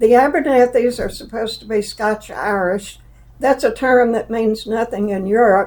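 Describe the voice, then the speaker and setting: The speaker talks at a moderate pace in a Southern accent. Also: woman, fairly high pitch for a woman, fairly even intonation. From US South, Alabama, Jefferson County. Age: 80s+. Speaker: interviewee, mother of the host. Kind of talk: personal interview, life story.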